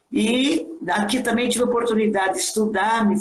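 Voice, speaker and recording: A woman at a fairly slow pace, ordinary pitch variation, audible room echo around her voice. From Brazil, Marília, São Paulo state. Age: 70s. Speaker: retired schoolteacher. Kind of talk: interview conversation. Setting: Instagram live.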